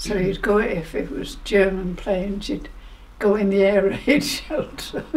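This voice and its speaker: Noticeable background noise accompanies a woman who speaks at a fairly slow pace. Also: medium pitch for a woman, ordinary pitch variation. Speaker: World War II civilian witness. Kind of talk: interview answer.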